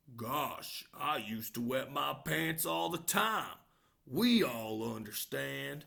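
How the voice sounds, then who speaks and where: This put-on character voice sits at a low-to-middle pitch and moves at a very slow pace. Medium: read story. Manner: gentle, reassuring.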